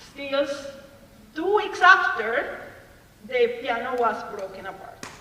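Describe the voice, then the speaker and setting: Speaking with a Venezuelan accent, a woman is heard in a room with audible echo and noticeable background noise. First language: Spanish. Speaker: engineer presenting at a school career panel. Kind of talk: career talk to students. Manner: halting.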